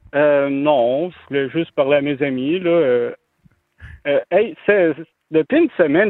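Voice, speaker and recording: A man talks at a fairly slow pace with a fairly high pitch. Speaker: caller, comedian. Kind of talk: casual chat.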